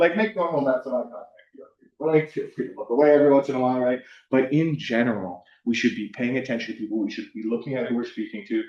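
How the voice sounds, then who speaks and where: Here a man with an American accent talks at a very fast pace. His pitch is medium and his intonation lively. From US West Coast (Southern California). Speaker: university counselor / workshop presenter. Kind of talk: workshop presentation. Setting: room with live and online audience. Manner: casual, frequent fillers (um, like).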